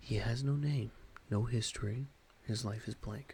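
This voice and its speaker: Soft-spoken and somewhat breathy, a man talks at a fairly slow pace with a calm tone and a dark, mellow voice. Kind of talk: ASMR audiobook reading. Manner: soft-spoken, calm.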